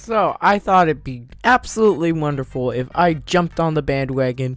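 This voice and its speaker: At a moderate pace, this is a normal speaking voice with lively intonation. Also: man, fairly high pitch for a man. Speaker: gaming YouTuber. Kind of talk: casual video commentary.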